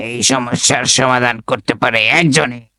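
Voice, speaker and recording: A man's raspy, put-on character voice. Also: medium pitch for a man, moderate pace, fairly even intonation. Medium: comedy sketch.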